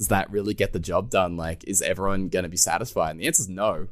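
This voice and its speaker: A man with an Australian accent, very deep and low in pitch, ordinary pitch variation and a fairly quick pace, on a very clean recording with a silent background. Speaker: podcast host, Hearthstone streamer. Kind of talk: casual podcast interview.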